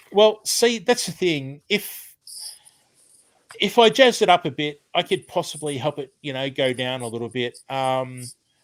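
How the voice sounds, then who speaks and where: Pitch swings very widely and loudness rises and falls sharply at a fairly slow pace, in a very clean recording with a silent background. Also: man, fairly high pitch for a man. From Australia. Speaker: retired chef and cooking/gardening channel host. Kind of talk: live stream chat with viewers. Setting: home, live stream. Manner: casual, many fillers (um).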